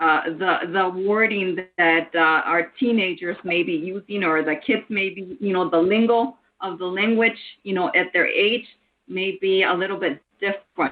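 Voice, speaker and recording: Speaking with a Spanish accent, a woman uses a medium pitch, ordinary pitch variation and a moderate pace. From United States. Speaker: committee member. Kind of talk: meeting discussion.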